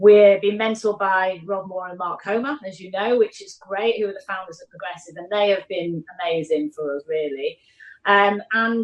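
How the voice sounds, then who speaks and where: A woman with a Mancunian accent talks at a moderate pace, her medium pitch showing ordinary variation. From Manchester, northern England. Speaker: property investor and business executive. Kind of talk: podcast interview. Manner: hesitant fillers, frequent you know and repeats.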